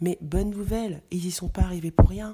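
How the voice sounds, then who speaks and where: The woman's voice is somewhat breathy, with a medium pitch. Her tone is calm, dark and mellow. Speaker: podcast host. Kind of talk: motivational talk.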